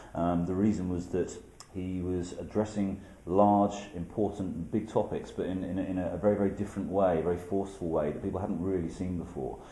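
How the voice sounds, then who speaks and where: In a British accent, a man with a very deep, low pitch and a dark, mellow tone talks at a fairly quick pace in a monotone, flat intonation, with audible room echo. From UK. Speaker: documentary filmmaker. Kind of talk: interview. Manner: hesitant, many fillers.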